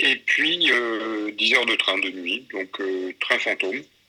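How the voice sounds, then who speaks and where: The speaker is a man. Behind his voice there is noticeable background noise. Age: 60s. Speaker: war photojournalist. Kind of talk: interview. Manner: halting.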